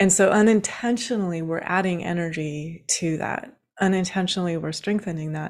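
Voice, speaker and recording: A woman with an American accent uses a normal speaking voice at a medium pitch and moderate pace with ordinary pitch variation, recorded very cleanly against a silent background. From Washington State, rural. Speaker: spiritual teacher. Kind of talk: interview.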